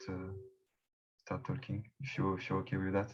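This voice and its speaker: A man speaks in a fairly low, somewhat breathy voice. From France, Paris. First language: French. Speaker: election candidate, community member. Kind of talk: video call group discussion. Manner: halting, many fillers and repeats.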